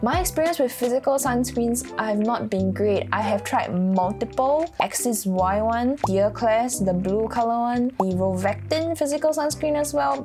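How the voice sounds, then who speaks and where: With music in the background, a woman speaks in a Singaporean accent at a moderate pace with hardly any pauses. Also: very even loudness. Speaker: beauty vlogger. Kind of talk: casual Q&A while doing makeup.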